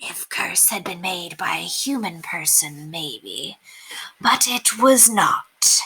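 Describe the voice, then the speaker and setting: A woman's raspy put-on character voice at a medium pitch and a very slow pace. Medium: read story. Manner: cryptic, broken English.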